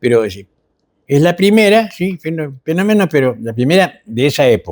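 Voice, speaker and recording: A man's pitch swings very widely. He keeps a moderate pace. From Argentina. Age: 70s. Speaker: historian commentator. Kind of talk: TV history chat. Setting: TV studio. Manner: hesitant, many fillers.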